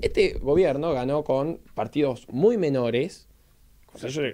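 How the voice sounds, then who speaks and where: A man's dark, mellow voice with lively intonation at a very slow pace. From Argentina. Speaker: political consultant; interview guest, political analyst. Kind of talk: radio interview. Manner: halting. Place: studio. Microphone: studio mic.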